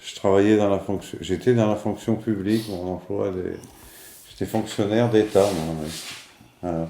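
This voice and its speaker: At a fairly slow pace, a man with a fairly low pitch speaks with fairly even intonation and long, frequent pauses. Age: 60s. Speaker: retired civil servant. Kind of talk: casual interview.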